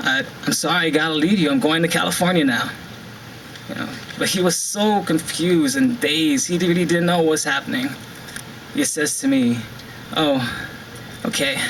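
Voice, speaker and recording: A man talks at a moderate pace in a high voice, his pitch swinging very widely. Long pauses come often, and background noise is noticeable. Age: 20s. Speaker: spoken word poet. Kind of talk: spoken word poetry performance. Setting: live event, outdoors. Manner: emotional, heartfelt.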